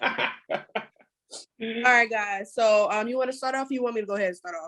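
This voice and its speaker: Talking at a fairly quick pace, a woman uses a fairly high pitch with ordinary pitch variation. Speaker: podcast co-host. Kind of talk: casual chat. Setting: video call. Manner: fast.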